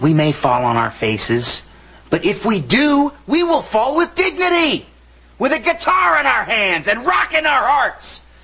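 The voice moves at a fairly slow pace with long, frequent pauses, big pitch swings, vocal fry, a slightly husky edge and a bright, sharp tone. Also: man, extremely high pitch for a man.

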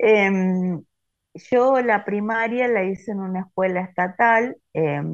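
A woman with a Rioplatense accent against a quiet background. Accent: Argentine Spanish (rioplatense). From Argentina, Santa Fe province. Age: 50s. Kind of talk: interview testimony.

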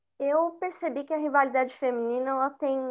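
Very slow speech from a woman, with a quiet background. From São Paulo, East Zone. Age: 20s. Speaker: journalist and researcher. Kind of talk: interview.

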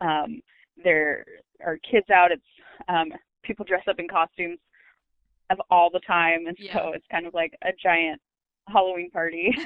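A woman with an American accent speaks at a moderate pace in a fairly low pitch, her intonation fairly even, her loudness swinging widely, and long pauses coming often. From New Orleans, Louisiana. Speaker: local travel interviewee. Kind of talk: interview. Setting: recorded interview.

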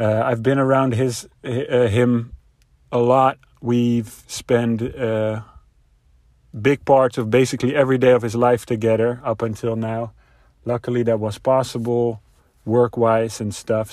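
With a Dutch accent and a dark, mellow tone, a man of medium pitch speaks at a fairly slow pace in a monotone, flat intonation, with long, frequent pauses, on a very clean recording with a silent background. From Netherlands. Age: 30s. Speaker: father sharing experiences. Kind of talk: personal reflection.

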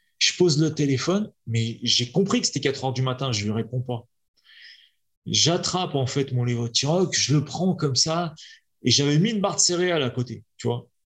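A man talks at a moderate pace with lively intonation and a fairly high pitch for a man. His voice is somewhat breathy on a very clean recording with a silent background. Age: 40s. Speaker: kettlebell athlete. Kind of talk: casual chat.

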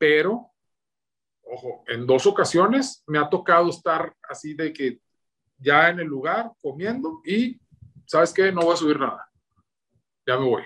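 A man with a northern Mexican accent speaks in a high, bright, sharp voice with lively intonation, leaving long, frequent pauses. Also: fairly slow pace. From northern Mexico (Torreón, Coahuila). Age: 30s. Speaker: cooking content creator. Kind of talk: casual interview.

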